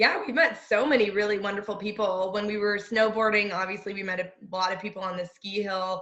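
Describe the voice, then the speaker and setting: A woman's normal speaking voice at a medium pitch, fairly quick with hardly any pauses, and fairly even intonation. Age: 20s. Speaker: van lifer. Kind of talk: interview.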